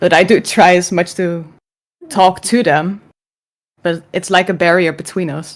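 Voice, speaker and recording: A woman at a fairly low pitch, fairly slow pace, with long, frequent pauses. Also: fairly even intonation. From Europe, non-US. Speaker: artist, online creator. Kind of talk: podcast interview.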